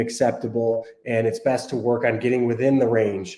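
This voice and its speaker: A man's dark, mellow voice at medium pitch with monotone, flat intonation. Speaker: dietitian and app cofounder hosting a Q&A. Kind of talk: live stream Q&A. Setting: live stream. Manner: casual, with frequent fillers.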